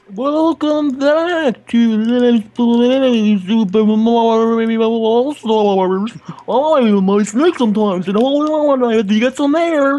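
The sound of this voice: A put-on character voice, fairly high in pitch, at a very slow pace with hardly any pauses.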